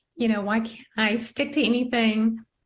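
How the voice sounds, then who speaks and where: A woman speaks at a moderate pace. Her voice is fairly high and somewhat breathy. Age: 60s. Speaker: network marketing member sharing health story. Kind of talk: testimony. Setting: video call.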